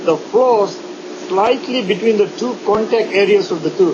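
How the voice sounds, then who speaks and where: Against noticeable background noise, a man speaks fairly slowly at a high pitch with ordinary pitch variation. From India. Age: 60s. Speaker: dentist. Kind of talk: interview. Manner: halting.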